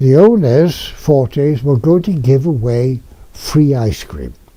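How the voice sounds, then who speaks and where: A man with a Welsh accent talks at a very slow pace, his voice fairly high in pitch and somewhat breathy. The tone is dark and mellow, with lively intonation. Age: 90s. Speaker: retired dentist recalling local history. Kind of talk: oral history reminiscence. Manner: halting with fillers.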